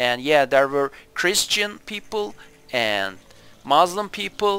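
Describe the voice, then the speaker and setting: With a Turkish accent, a man speaks at a very slow pace in a fairly high pitch, using lively intonation. Music plays in the background. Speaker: gaming youtuber, historian. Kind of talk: game review commentary. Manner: halting, many fillers.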